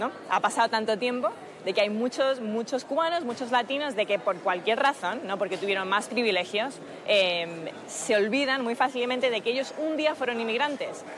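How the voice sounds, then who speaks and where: A woman speaks at a moderate pace in a Madrid accent, her pitch fairly high and her intonation lively. Noticeable background noise runs underneath. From Spain, Madrid. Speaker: political activist and former campaign staffer. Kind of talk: TV interview.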